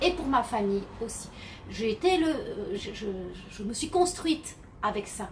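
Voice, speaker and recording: A woman with a high voice swings very widely in pitch over noticeable background noise. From southern France (Arles, Camargue). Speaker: novelist. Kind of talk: casual Q&A vlog. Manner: hesitant, many fillers.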